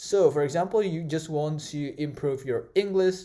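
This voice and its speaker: A man's fairly high voice carries a dark, mellow tone, with ordinary pitch variation at a moderate pace. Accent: Indonesian. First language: Indonesian. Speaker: tech tutorial creator. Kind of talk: tutorial. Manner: halting, many fillers.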